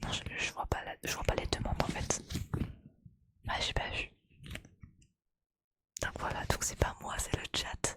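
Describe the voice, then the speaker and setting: A woman whispers fairly slowly, with long pauses coming often. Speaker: Twitch streamer and ASMR creator. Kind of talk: casual live stream chat with viewers. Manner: casual, chatty, normal speaking voice.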